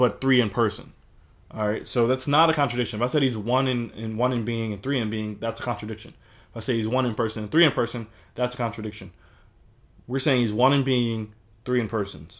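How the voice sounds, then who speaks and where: Recorded very cleanly against a silent background, a man talks at a fairly quick pace in a medium pitch, with ordinary pitch variation and long, frequent pauses. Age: 20s. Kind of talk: casual discussion. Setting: livestreamed recording.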